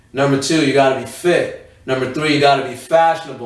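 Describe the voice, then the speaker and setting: Over noticeable background noise, a man with a fairly high pitch talks at a fairly quick pace in a monotone, flat way. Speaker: podcast co-host. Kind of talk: casual chat.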